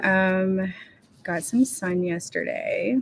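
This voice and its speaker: A quiet woman's voice at medium pitch, with lively intonation. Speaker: writing livestreamer. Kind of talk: casual livestream chat. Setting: room with other people, livestream. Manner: quiet, hushed.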